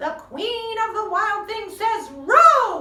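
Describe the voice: In a put-on character voice, a woman speaks slowly at an extremely high pitch, with big pitch swings and a bright, sharp tone.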